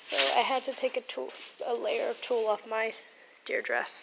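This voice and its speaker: Noticeable background noise is present. A woman speaks through it at a moderate pace. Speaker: theatre costumer. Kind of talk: casual vlog talk to camera.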